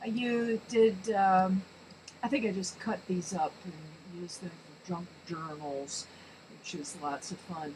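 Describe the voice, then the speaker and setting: Over noticeable background noise, the speaker goes at a very slow pace with lively intonation. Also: woman. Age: 60s. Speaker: amateur artist and crafter. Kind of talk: show-and-tell tutorial. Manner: hesitant, many fillers.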